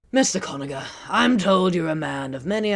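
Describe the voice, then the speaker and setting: A put-on character voice at a middle pitch plays over music in the background. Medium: dub.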